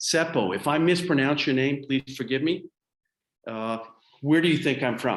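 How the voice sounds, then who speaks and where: At a moderate pace, a man with an American accent speaks at a fairly high pitch, with ordinary pitch variation and long, frequent pauses. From Colorado, US. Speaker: public speaking coach. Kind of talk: webinar training.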